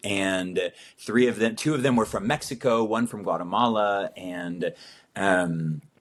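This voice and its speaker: In an ordinary speaking voice, a man with an American accent talks at a fairly slow pace, his fairly low pitch showing ordinary pitch variation. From Italy (American family). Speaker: missionary. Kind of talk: casual chat.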